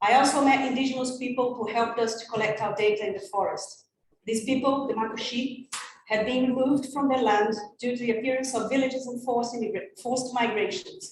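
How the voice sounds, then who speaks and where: A very fast pace in a Portuguese accent, with audible room echo. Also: woman, high pitch for a woman. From Brazilian Amazon. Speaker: ecologist. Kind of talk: conference presentation. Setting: conference, in person and online.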